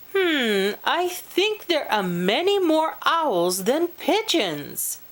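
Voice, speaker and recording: A woman puts on a character voice, pitched high and swinging very widely in pitch. She speaks at a very slow pace. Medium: read story. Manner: boastful.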